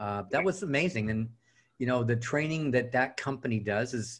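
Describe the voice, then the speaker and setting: Over a quiet background, a man speaks at a fairly quick pace in a medium-pitched, somewhat breathy voice. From Southern California. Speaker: real estate coach and trainer. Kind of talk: interview.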